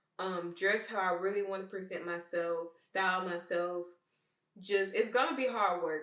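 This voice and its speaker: A woman's voice at medium pitch, moderate pace and fairly even intonation. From Memphis, Tennessee, US South. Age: 20s. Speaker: vlogger. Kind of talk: personal monologue.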